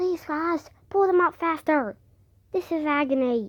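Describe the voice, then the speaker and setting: A woman puts on a character voice at an extremely high pitch. She keeps a moderate pace. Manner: pained, through clenched teeth.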